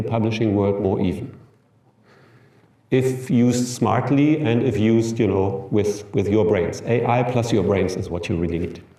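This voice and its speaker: Using a German accent, a man with a medium-pitched, somewhat breathy voice and a dark, mellow tone speaks at a moderate pace. His pitch varies in an ordinary way, and there is audible room echo. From Germany. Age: 50s. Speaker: professor. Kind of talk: lecture. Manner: halting.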